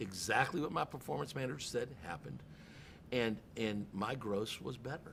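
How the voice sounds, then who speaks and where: A man talks at a moderate pace with vocal fry and very wide pitch swings. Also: medium pitch for a man. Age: 60s. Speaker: car dealership general manager. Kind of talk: podcast interview. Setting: in a car dealership. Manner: animated.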